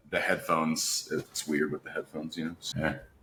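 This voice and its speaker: This voice has a bright, sharp tone. It carries an American accent. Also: man. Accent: Appalachian, comes out when relaxed. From West Virginia, Appalachia. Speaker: voice actor and singer-songwriter. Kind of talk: interview conversation.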